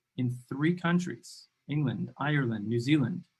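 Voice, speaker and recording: A man with an American accent talks at a moderate pace and a fairly high pitch. His voice is somewhat breathy, with ordinary pitch variation. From New York. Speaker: podcast host. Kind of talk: interview conversation. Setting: livestream.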